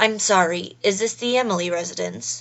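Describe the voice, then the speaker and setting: A woman's raspy, put-on character voice, fairly low in pitch, with lively intonation at a moderate pace. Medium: read story. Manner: awkward, unsure.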